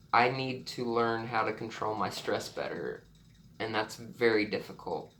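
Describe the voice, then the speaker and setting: Through audible room echo, a man at medium pitch speaks at a fairly slow pace in a monotone, flat intonation. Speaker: vlogger sharing illness story. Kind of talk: personal testimony vlog. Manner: halting, many repetitions and fillers.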